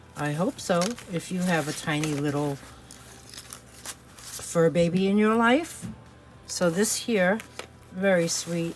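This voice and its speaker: Music plays behind a woman with an American accent and a fairly low pitch. She speaks fairly slowly with long, frequent pauses and lively intonation. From New York City. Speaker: online reseller. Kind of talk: product showcase video; channel outro. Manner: casual, chatty with fillers.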